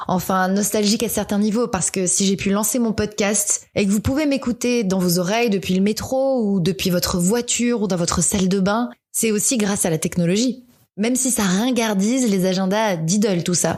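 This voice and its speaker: Using an ordinary speaking voice, a woman speaks at a medium pitch and moderate pace, with ordinary pitch variation, very even loudness and hardly any pauses. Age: 30s. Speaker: podcaster. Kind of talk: personal podcast monologue. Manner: reflective, nostalgic.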